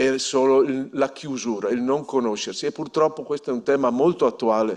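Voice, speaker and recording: A man's fairly high voice moves at a moderate pace, with ordinary pitch variation. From northern Italy, Polesine (Veneto, near the Po). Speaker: regional politician. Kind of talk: ceremony speech. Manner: halting, with frequent self-corrections.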